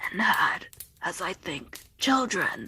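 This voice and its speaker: A raspy, put-on character voice that sounds female. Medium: read story.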